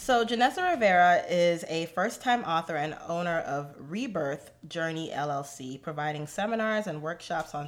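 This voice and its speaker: A woman with a normal speaking voice talks at a fairly low pitch, with ordinary pitch variation. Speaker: podcast co-host. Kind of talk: casual chat.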